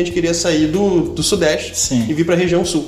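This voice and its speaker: A man's voice comes through with audible room echo. Noticeable background noise sits under it. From Rio de Janeiro, Brazil. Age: 30s. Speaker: taekwondo instructor and business owner. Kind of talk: casual interview chat.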